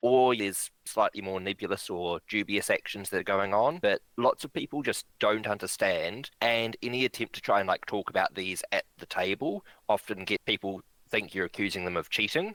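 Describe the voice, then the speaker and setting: A man's fairly low voice in a New Zealand accent, with hardly any pauses, ordinary pitch variation and a dry, close sound with no echo. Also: moderate pace. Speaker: bridge director and player. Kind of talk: casual interview chat.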